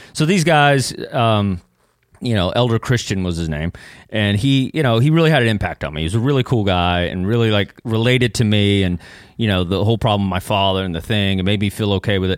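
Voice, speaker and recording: Talking at a fairly quick pace, a man with a Texan accent uses a fairly low voice. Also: lively intonation. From East Texas (Kilgore). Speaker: comedian and former missionary. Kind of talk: casual chat. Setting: studio.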